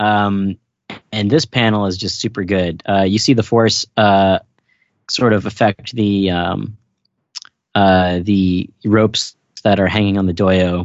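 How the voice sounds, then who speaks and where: Long, frequent pauses break up a man's fairly slow delivery. His voice has a fairly low pitch and fairly even intonation. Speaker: podcast co-host. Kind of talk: casual chat.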